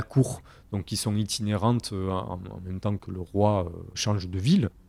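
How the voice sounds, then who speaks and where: Over a very clean recording with a silent background, a man speaks at a fairly low pitch. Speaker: historian, recent PhD on 16th-century rumour. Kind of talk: interview. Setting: recording room in Bordeaux. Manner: hesitant, many fillers.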